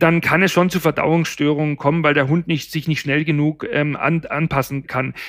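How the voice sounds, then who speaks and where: The speaker is a man with a fairly high pitch. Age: 50s. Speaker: pet food nutrition expert. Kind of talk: casual chat. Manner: halting, many fillers.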